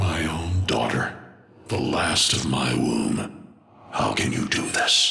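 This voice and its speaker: A man performs a put-on character voice at a fairly slow pace. There is a clear echo. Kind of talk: video game villain. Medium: video game. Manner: slow, cryptic, ominous.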